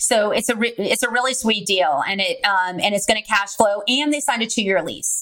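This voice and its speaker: A woman with an American accent has an ordinary speaking voice, fairly high in pitch with ordinary pitch variation. She talks at a fairly quick pace with hardly any pauses. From California. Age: 20s. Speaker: real estate investor. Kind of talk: interview.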